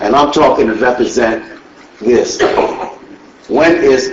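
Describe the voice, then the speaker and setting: Noticeable background noise and audible room echo surround a man who talks at a fairly slow pace. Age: 70s. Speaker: resident speaking at public comment. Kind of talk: public comment at council meeting. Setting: council meeting with audience. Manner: halting.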